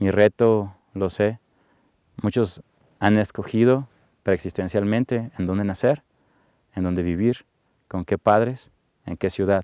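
At a fairly slow pace and fairly low pitch, a man speaks in a dark, mellow tone with fairly even intonation. Long, frequent pauses come through against a quiet background, with dry sound and no echo. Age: 30s. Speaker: interviewee. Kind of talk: testimony. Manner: halting. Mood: calm, reflective, warm. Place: open country.

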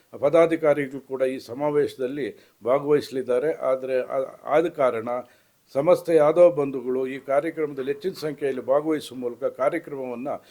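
A man speaks with fairly even intonation in a dark, mellow tone, his pitch sitting fairly high. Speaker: retired civil servant, community association member. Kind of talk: public appeal statement. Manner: halting.

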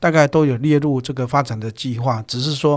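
The speech has ordinary pitch variation and a moderate pace against a quiet background. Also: man. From Taiwan. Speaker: human resources executive; guest. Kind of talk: interview. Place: studio. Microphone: studio mic.

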